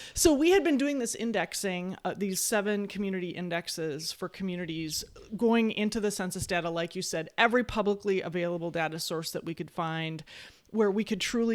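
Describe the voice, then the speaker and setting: A woman with an Upper Midwest accent speaks at a fairly low pitch. Her pace is fairly quick, and her pitch varies in an ordinary way. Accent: Upper Midwest American. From Wisconsin. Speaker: futurist and economist. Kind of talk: interview. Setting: video call.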